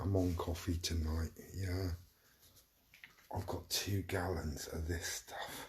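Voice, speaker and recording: A quiet, somewhat breathy man speaks very slowly in a monotone, flat intonation. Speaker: livestreamer. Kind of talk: casual chat. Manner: rambling, hesitant.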